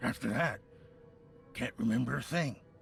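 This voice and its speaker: Through clear background noise, a man uses a raspy, put-on character voice at medium pitch and a moderate pace. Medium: video game. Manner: stammering, agitated.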